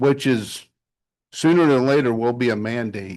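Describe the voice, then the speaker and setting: A man talking at a fairly slow pace against a quiet background. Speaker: town official. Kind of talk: public meeting discussion. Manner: soft-spoken; halting.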